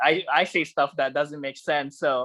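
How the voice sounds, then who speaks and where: A man with a non-native accent talks at a moderate pace in a bright, sharp tone, with a dry, close sound and no echo. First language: not English. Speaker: podcast host. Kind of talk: casual interview chat. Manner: halting, many fillers.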